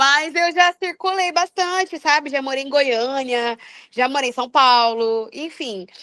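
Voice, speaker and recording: Raised and projected, a woman's high-pitched voice carries a strong Mato Grosso accent, with an animated, bright, sharp tone and lively intonation at a fairly slow pace, recorded dry and close with no echo against a quiet background. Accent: strong Mato Grosso (Cuiabá). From Cuiabá, Mato Grosso, Brazil. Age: 20s. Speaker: singer and psychology graduate. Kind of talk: casual podcast interview.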